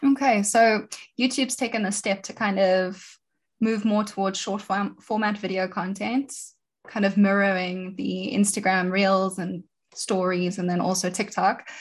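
With a somewhat breathy voice, a woman speaks at a medium pitch and a fairly slow pace. Her intonation is fairly even, over a quiet background. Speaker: podcast host. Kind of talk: interview.

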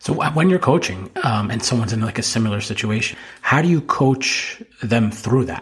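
In an American accent, a man with a plain, everyday voice talks at a moderate pace and medium pitch, with ordinary pitch variation. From New Jersey. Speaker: podcast host, financial advisor. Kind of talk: casual interview.

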